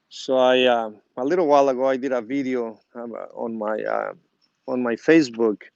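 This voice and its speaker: A speaker with a Spanish accent talks at a moderate pace. The intonation stays fairly even. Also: man, medium pitch for a man. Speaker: gardening YouTuber. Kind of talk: casual how-to video. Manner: halting, many fillers.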